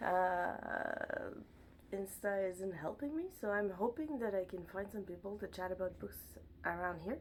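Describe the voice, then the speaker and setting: With a slight French accent, a woman speaks at a medium pitch with lively intonation over noticeable background noise. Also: fairly slow pace. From Montreal, Quebec. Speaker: book vlogger. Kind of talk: casual chat. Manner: animated.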